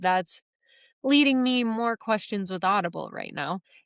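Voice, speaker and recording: With a Midwestern accent, a woman speaks at a fairly high pitch with lively intonation, the sound dry and close with no echo on a very clean recording with a silent background. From US Midwest. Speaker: podcast host. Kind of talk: casual podcast monologue. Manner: chatty, filler-heavy.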